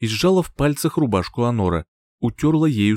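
An unforced reading voice with lively intonation. The background is quiet.

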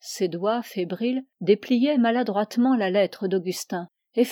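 Against a quiet background comes a natural reading voice with ordinary pitch variation.

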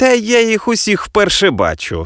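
A man's put-on character voice, high-pitched and fairly bright, with very wide pitch swings at a moderate pace, on a very clean recording with a silent background

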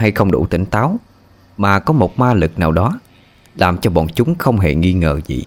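Someone reads aloud here, and the delivery is unforced.

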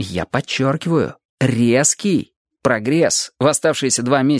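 Someone engages in plain reading aloud, the pitch varying in an ordinary way. Little can be heard behind the voice.

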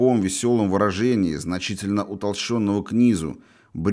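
Simply plain reading aloud

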